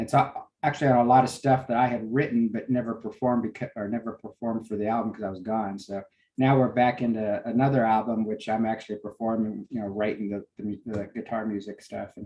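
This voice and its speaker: At a very fast pace, a man of medium pitch speaks with fairly even intonation. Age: 60s. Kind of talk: casual chat. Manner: halting, many fillers.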